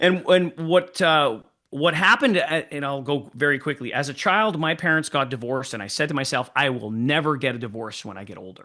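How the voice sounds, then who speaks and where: A man talks at a fairly quick pace with hardly any pauses, his pitch fairly high and his tone bright and sharp. His intonation is lively, his loudness swings widely, and the background stays quiet. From Canada, Winnipeg (French Canadian). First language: French. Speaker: sales trainer. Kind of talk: podcast interview.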